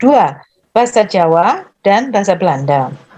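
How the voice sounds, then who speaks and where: A woman talks at a fairly slow pace in a dark, mellow tone at medium pitch. Her pitch swings very widely. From Surabaya, East Java, Indonesia. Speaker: university lecturer. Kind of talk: interview.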